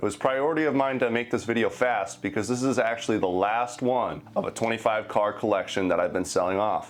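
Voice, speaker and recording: Against noticeable background noise, a man talks at a fairly quick pace with hardly any pauses, using a medium pitch, ordinary pitch variation and very even loudness. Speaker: vintage collectibles youtuber. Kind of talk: product demo and history narration.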